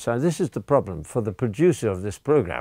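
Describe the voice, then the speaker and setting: A man speaks with an English accent. The sound is dry and close, with no echo. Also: very clean recording, silent background. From England. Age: 80s+. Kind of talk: language lesson / religious teaching. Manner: animated; halting, repeats words.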